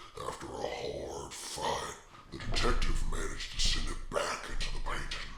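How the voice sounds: Over clear background noise and a slight echo, a man does a put-on character voice at a moderate pace.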